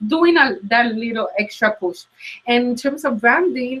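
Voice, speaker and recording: This woman has a fairly high pitch and a strong Latin American Spanish accent, talking at a fairly slow pace with lively intonation. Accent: thick Latin American Spanish. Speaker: career coach. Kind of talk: interview. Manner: hesitant, many fillers.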